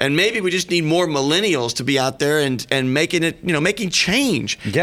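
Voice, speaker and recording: A high-pitched man talking at a fairly quick pace over noticeable background noise. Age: 50s. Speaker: radio host. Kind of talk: radio talk show.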